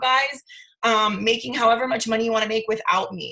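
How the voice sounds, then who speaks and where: A woman speaks with a fairly high pitch. Her pitch varies in an ordinary way. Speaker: network marketing team leader. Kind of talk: motivational team training call. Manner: loud; animated.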